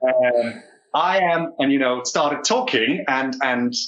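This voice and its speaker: A man with a Danish accent. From Denmark, Odense area. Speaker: actor. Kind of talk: casual chat. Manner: halting.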